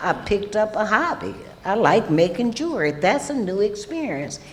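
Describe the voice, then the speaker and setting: The speaker has a Louisiana accent. Noticeable background noise runs beneath the voice. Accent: Southern US (Louisiana). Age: old. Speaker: recovering alcoholic panelist. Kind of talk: testimony. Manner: loud; animated.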